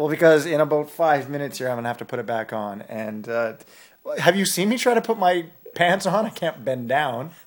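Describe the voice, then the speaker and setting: Speaking at a fairly quick pace, a man with a western Canadian accent uses a fairly high pitch with very wide pitch swings. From northern Alberta, Canada. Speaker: freestyle aerials skier. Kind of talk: casual chat. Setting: at home on a couch.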